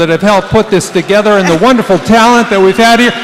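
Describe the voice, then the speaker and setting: High-pitched male voice against noticeable background noise. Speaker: war veteran, veterans post officer. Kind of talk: stage speech. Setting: stage with audience. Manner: enthusiastic.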